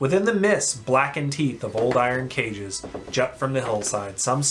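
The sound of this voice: Text is being read out. The reading voice is unforced.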